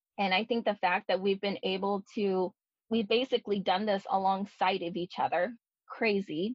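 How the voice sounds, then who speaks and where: A woman speaks at a medium pitch with fairly even intonation and a moderate pace. She has an ordinary speaking voice. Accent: American. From US West Coast, San Francisco Bay Area. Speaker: podcast co-host. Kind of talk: casual chat.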